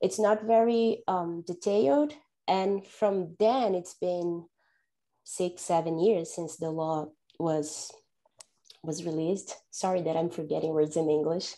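A woman with a Portuguese accent speaks at a fairly slow pace in a dark, mellow tone, her fairly low pitch moving with ordinary variation against a quiet background. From Brazil. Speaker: data analysis manager. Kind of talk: panel discussion. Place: home room. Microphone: earbuds.

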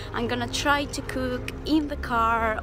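A woman's voice, dry with no echo, over clear background music. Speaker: travel vlogger. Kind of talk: casual vlog chat. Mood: cheerful, upbeat. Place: street. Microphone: phone near.

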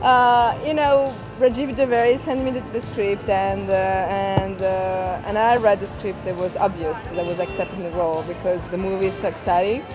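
With clear music in the background, a woman speaks at a moderate pace with hardly any pauses. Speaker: actress at a party. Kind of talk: interview answer. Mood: excited, grateful, smiling. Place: street.

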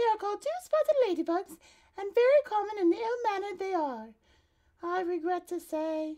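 A woman speaks in a put-on character voice pitched extremely high. Her pitch swings very widely at a moderate pace. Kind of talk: children's read-aloud. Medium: read story. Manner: modest, genteel, a little snobbish.

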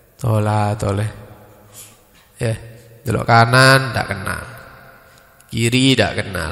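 A man speaking at a very slow pace with fairly even intonation, amid audible room echo. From East Java, Indonesia. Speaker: Islamic preacher. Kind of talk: religious study lecture. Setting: mosque study gathering after dawn prayer. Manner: casual, mixing Javanese and Indonesian. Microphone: handheld.

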